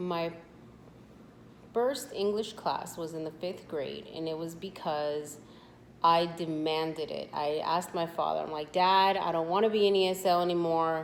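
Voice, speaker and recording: Speaking at a moderate pace with a Spanish accent, a woman's fairly low voice carries audible room echo. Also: ordinary pitch variation. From US, Spanish-speaking immigrant family. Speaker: interviewee, sister of channel owner. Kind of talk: casual interview. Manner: hesitant, many fillers.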